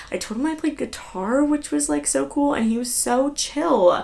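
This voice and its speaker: With an American accent and an animated tone, a woman speaks at a moderate pace. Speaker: podcast host. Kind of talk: casual chat.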